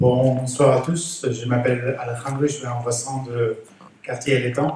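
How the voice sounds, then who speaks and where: Over audible room echo, a man with a non-native accent speaks at a fairly slow pace with a medium pitch and monotone, flat intonation. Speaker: resident speaking at neighbourhood assembly. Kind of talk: public meeting remarks. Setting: neighbourhood centre assembly. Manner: halting, many hesitations.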